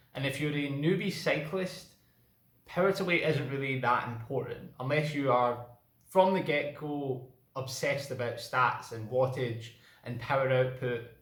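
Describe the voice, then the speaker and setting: In a Scottish accent, a man talks at a moderate pace with a fairly high pitch. His pitch varies in an ordinary way, and room echo is audible. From Scotland. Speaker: cycling vlogger. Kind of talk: casual vlog talk.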